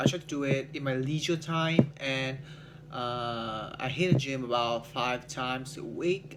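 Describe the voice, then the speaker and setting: The speaker has a Vietnamese accent and a fairly slow pace with fairly even intonation. Noticeable background noise is present. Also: man. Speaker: English learner, salesman. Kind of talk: speaking practice monologue. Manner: halting, many fillers.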